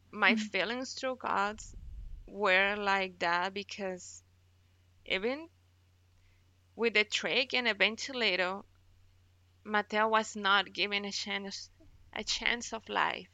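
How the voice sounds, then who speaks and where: A woman at a medium pitch with a Spanish accent, very slow and fairly even in intonation, with long, frequent pauses. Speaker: NICU mother. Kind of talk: personal testimony.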